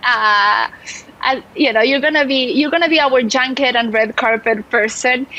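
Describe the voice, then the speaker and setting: Noticeable background noise runs under a woman with a Spanish accent, who speaks at a moderate pace in a high pitch with ordinary pitch variation and very even loudness. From Spain, Barcelona. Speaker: writer and journalist. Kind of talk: casual interview chat.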